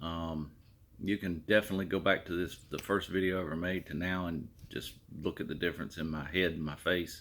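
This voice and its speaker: At a fairly quick pace, a man with a very deep, low pitch speaks with fairly even intonation. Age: 50s. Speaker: vlogger. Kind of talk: casual chat. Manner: casual, hesitant with many fillers.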